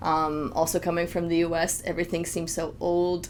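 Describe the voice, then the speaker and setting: A woman with an American accent speaks in a fairly low voice. Noticeable background noise and audible room echo surround her. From US, California and Minnesota. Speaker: fashion designer, expat. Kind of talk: podcast interview. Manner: hesitant, many fillers.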